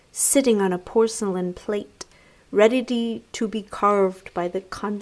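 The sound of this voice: The speaker reads in an unforced reading voice.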